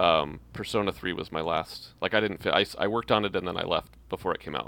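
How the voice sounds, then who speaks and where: In a plain, everyday voice, a man speaks at a fairly low pitch with ordinary pitch variation. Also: very clean recording, silent background. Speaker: game director. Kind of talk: casual interview.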